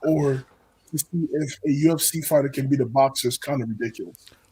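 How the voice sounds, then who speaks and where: A man talks fairly quickly in a dark, mellow tone that is somewhat breathy. His intonation stays fairly even. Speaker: panel member on live reaction show. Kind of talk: casual chat.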